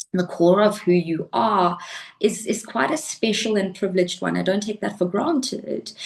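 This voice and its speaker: Noticeable background noise sits behind a woman at a medium pitch. Her intonation is lively and her pace moderate. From South Africa. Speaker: life coach and pole fitness athlete. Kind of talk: interview conversation.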